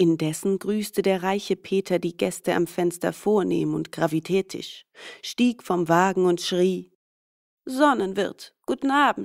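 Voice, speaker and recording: Her delivery is very slow. This woman's voice sits at a medium pitch and varies in an ordinary way. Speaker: fairy tale reader.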